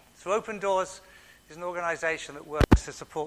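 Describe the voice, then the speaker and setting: A man's fairly high, fairly even voice at a fairly quick pace, over noticeable background noise. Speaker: visiting speaker for a charity. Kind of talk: talk to congregation. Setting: church with microphone.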